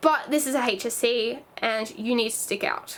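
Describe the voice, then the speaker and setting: A woman with an Australian accent speaks at a high pitch, with ordinary pitch variation. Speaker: youtuber, former dance student. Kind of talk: casual vlog talk. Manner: halting, self-correcting.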